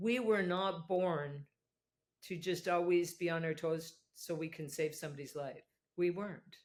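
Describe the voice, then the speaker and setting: A plain, everyday voice speaks at a fairly slow pace with fairly even intonation. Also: woman, fairly low pitch for a woman. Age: 60s. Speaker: addiction and rehabilitation program developer, former nurse. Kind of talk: podcast interview.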